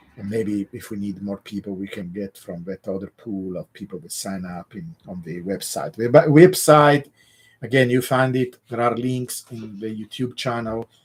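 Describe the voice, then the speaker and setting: The speaker, with an Italian accent, goes at a fairly slow pace while the loudness swings widely. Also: man, fairly low pitch for a man, lively intonation. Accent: Italian accent, mistaken for Russian. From Italy (Genoa, southern Italian parents). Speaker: crypto analyst / YouTube host. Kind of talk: live stream Q&A. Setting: live stream with chat.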